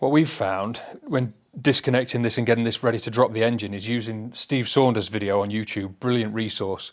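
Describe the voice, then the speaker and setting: Someone speaks at a fairly quick pace with a British accent and fairly even intonation. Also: man. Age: 40s. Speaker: motorcycle restoration YouTuber. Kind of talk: casual workshop vlog.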